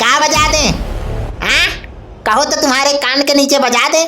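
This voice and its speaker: In a cartoonish character voice, a woman speaks at a moderate pace with a high pitch and monotone, flat intonation over clear background noise. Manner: cheeky, rustic.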